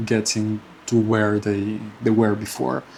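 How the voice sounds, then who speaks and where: A man speaking at a very slow pace. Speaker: personal finance vlogger. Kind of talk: casual monthly update vlog. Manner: halting, many fillers and repeats.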